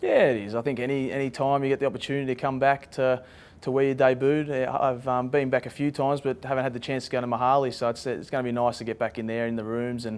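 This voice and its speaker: A man speaks at a very fast pace with hardly any pauses. His intonation stays monotone and flat. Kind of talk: interview answer.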